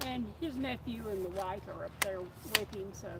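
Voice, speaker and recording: An Appalachian accent at a moderate pace, with noticeable background noise. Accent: Appalachian Southern US. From mountains of North Carolina. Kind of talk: casual chat.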